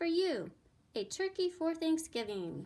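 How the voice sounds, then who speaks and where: A woman uses a squeaky, put-on character voice at an extremely high pitch. Her pitch swings very widely and her pace is fairly slow. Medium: read story. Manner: booming, friendly.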